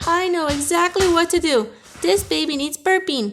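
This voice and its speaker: Putting on a squeaky character voice at an extremely high pitch, a woman speaks at a moderate pace. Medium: read story.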